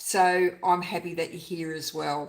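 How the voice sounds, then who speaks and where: Here a woman talks with an Australian accent. Her pitch is medium and her pace fairly slow. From Queensland, Australia. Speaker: junk journal crafter, YouTuber. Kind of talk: casual livestream chat. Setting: home craft studio livestream.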